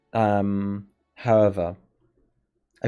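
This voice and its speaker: Someone with an American accent speaks on a very clean recording against a silent background. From Germany. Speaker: streamer. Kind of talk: casual live stream chat.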